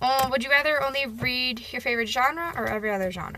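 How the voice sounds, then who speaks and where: A woman's loud voice has a bright, sharp tone. Her pitch swings very widely. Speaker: booktuber. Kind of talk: casual chat. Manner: hesitant, many fillers.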